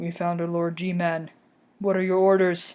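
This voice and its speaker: A put-on character voice from a woman, fairly low in pitch, at a moderate pace with monotone, flat intonation. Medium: read story. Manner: hushed, clipped.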